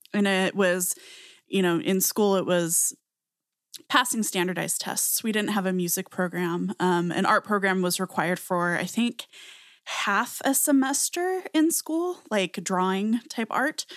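In an American accent, a woman with an unremarkable speaking voice talks at a medium pitch and a fairly slow pace with lively intonation, on a very clean recording with a silent background. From very small US town. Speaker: podcast co-host. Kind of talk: casual chat.

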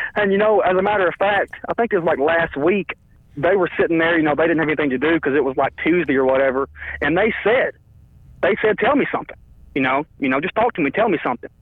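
Over noticeable background noise, a man with a high pitch talks very fast with lively intonation. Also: very even loudness. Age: 20s. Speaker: caller, powerlifter and youth coach. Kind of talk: casual chat. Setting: phone call.

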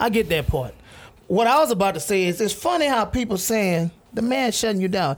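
The man's voice is high in pitch, with lively intonation. He talks at a very fast pace. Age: 30s. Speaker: radio show guest. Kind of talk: casual chat.

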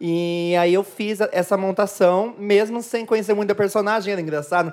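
At a moderate pace, a woman using a normal speaking voice talks at a medium pitch that varies in an ordinary way. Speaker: drag queen. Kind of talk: casual chat.

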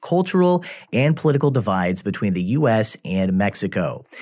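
A man's voice at a medium pitch, rising and falling through very wide swings. The recording is very clean, with a silent background. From US Midwest. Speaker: podcast host and professor. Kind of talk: scripted narration; interview conversation. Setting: studio.

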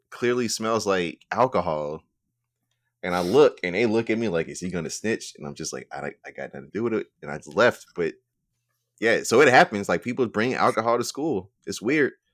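On a very clean recording with a silent background and a dry, close sound with no echo, a man at medium pitch with vocal fry talks at a fairly quick pace, using very wide pitch swings and big swings in loudness. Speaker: podcast host. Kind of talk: casual chat.

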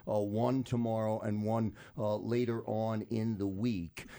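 A dark, mellow voice delivered with monotone, flat intonation. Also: man. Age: 50s. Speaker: radio host. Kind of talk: radio talk show.

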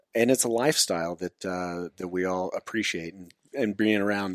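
A man with an American accent speaks at a moderate pace with a very deep, low pitch and ordinary pitch variation. The recording is very clean, dry and close, with no echo and a silent background. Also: hardly any pauses, big swings in loudness. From Nevada, Lake Tahoe. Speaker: hunter and fitness competitor. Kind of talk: casual interview. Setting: at the guest's home.

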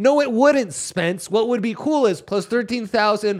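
Loud and animated, a man speaks at a moderate pace with lively intonation on a very clean recording with a silent background. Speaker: sports betting podcast host. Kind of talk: casual chat. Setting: live from a bar.

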